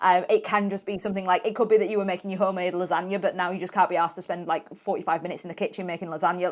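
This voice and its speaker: Speaking at a very fast pace, a woman uses a British accent. Her pitch sits in the medium range with fairly even intonation. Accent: British accent, noticeable. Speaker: health and weight loss coach. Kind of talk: podcast interview.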